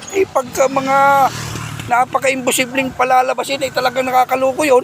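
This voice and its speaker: Noticeable background noise behind a male speaker's moderate pace. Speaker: vlogger. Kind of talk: casual chat. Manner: animated; softer speech today.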